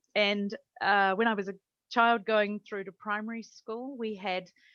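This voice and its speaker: A woman with a New Zealand accent talks at a moderate pace with fairly even intonation, captured with a dry, close sound and no echo. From New Zealand, Taranaki. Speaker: language teaching academic. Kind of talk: interview.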